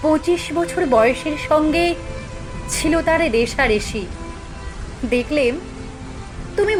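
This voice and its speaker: A high-pitched woman speaks with very wide pitch swings as music plays in the background. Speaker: poetry reciter. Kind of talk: poetry reading.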